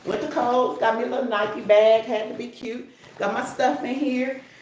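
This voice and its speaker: With noticeable background noise and audible room echo, a woman with a high pitch speaks in an animated tone at a moderate pace, her pitch varying in an ordinary way. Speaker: wig reviewer and traveling healthcare worker. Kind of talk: casual livestream chat.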